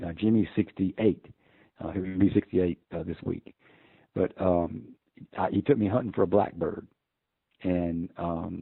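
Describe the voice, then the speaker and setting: A man with a very deep, low pitch and a Southern US accent talks fairly slowly with fairly even intonation and long, frequent pauses. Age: 60s. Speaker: hunting call maker and hunter. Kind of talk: interview storytelling. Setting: podcast interview. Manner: hesitant, many fillers.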